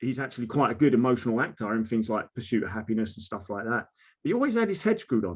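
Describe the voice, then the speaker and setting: A man talks with an Essex accent. Behind him the background is quiet. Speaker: mental health advocate, social media creator. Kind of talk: casual conversation. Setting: video call.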